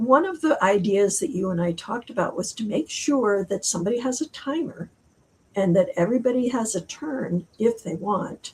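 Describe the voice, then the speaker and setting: A woman with a fairly high voice and lively intonation talks at a moderate speed while noticeable background noise plays behind her. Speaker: author. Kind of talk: interview.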